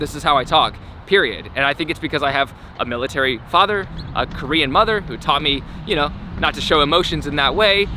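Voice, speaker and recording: Over noticeable background noise, a man speaks very fast at a fairly high pitch with ordinary pitch variation. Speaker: skateboarding YouTuber. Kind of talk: vlog monologue. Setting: outdoors at skate park. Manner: clear and loud on camera; even, unemotional delivery.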